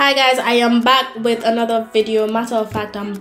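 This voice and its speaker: Music plays in the background as a woman speaks. Her moderate-paced delivery has monotone, flat intonation. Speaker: vlogger narrator. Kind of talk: casual vlog narration.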